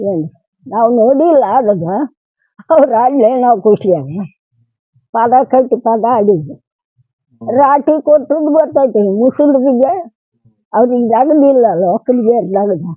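With lively intonation, a woman speaks in a high pitch. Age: 80s+. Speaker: elderly villager recalling the past. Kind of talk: oral history interview.

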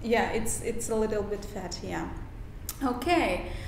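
Audible room echo and light background noise surround a woman's fairly high voice as she speaks slowly-ish with fairly even intonation. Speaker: YouTuber. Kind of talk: interview questions. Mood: friendly, animated. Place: home room.

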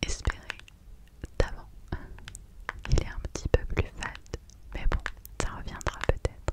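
Soft-spoken, a woman talks in a whisper. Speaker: video creator. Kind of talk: soft-spoken ASMR chat. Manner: soft close-mic whisper. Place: home room. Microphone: studio mic.

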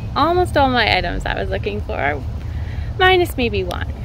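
A woman's voice comes through dry with no echo, amid noticeable background noise. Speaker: gardening vlogger. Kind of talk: casual vlog chat. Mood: cheerful, excited. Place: street. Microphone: phone near.

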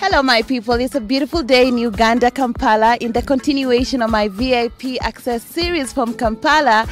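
Over faint background music, a woman speaks at a fairly quick pace with hardly any pauses, in a high pitch with ordinary pitch variation and a dry sound with no echo. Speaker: entertainment and music publicist, interviewer. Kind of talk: interview questions. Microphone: handheld.

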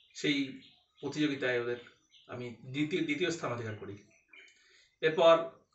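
Audible room echo carries a man's fairly high-pitched voice. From West Bengal, Katwa; West Bengal. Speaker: blind graduate student. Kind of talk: personal testimony monologue. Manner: halting, many pauses. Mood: calm, reflective. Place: home room. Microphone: phone near.

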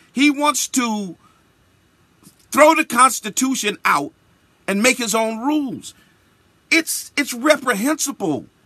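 In a dry sound with no echo and a quiet background, a man speaks in a raised, projected voice at an extremely high pitch, with a bright, sharp, passionate tone, lively intonation, a very slow pace and long, frequent pauses. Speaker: bishop, radio broadcaster. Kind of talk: spoken-word radio commentary. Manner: emphatic, passionate. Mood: indignant. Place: studio. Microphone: studio mic.

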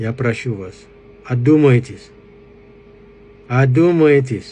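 With a strong African accent, a man talks at a very slow pace and ordinary pitch variation. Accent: strong African accent in Russian. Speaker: commentator addressing a foreign audience. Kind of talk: political appeal to camera. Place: home room. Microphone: phone near.

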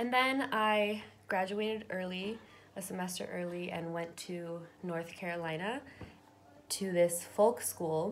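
A woman speaks with an American accent at a fairly slow pace. Her pitch variation is ordinary, with light background noise. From Southern California. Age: 20s. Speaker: YouTuber; vlogger. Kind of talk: personal testimony. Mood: reflective, open, gentle. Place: home room. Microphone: webcam.

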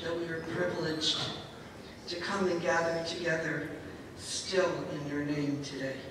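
A woman with a fairly low pitch and fairly even intonation is heard through strong room echo and noticeable background noise. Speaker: prayer leader. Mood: earnest, reverent. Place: hall.

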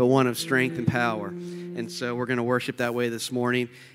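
A man speaks over clear music in the background. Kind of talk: church announcements. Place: church.

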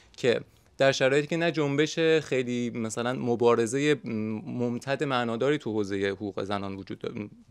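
A man talks with ordinary pitch variation at a moderate pace against a quiet background. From Iran. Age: 30s. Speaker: sociology of religion student, former journalist; former journalist. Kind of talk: panel debate. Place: shop.

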